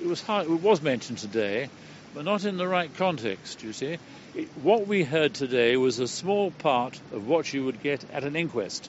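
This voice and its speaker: A man's fairly high voice at a moderate pace, with very wide pitch swings and noticeable background noise. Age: 70s. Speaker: retired surgeon. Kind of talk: interview. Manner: animated.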